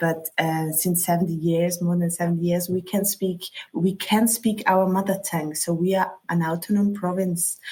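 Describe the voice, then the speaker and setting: A woman's somewhat breathy, fairly low voice with very even loudness, monotone, flat intonation and hardly any pauses. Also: moderate pace. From South Tyrol, Italy. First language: German. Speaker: local travel expert. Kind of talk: interview. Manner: halting.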